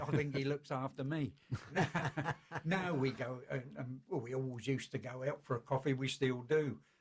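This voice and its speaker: A man's somewhat breathy voice sits at a medium pitch, and his intonation stays fairly even. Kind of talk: radio interview answer.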